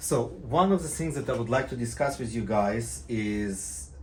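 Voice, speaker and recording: Speaking at a medium pitch, a man swings very widely up and down in pitch, with audible room echo around him. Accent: Israeli. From Israel. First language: Hebrew. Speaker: private pilot and tutorial maker. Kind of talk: casual video talk to viewers. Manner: halting, many fillers and restarts.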